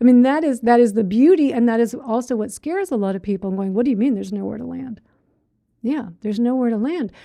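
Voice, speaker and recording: Against a quiet background, a woman speaks at a moderate pace in a high pitch, her tone dark and mellow, with ordinary pitch variation. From Australia. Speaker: meditation teacher. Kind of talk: dharma talk; reading and answering live chat. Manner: casual, conversational.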